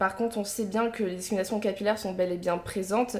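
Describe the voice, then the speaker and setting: A woman speaks in a monotone, flat intonation against noticeable background noise. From Picardie, northern France. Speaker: podcast host and media founder. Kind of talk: interview.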